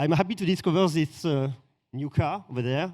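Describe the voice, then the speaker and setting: With a French accent and a dark, mellow tone, a man speaks at a moderate pace with ordinary pitch variation. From France. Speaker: influencer visiting event. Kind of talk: casual interview. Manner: halting.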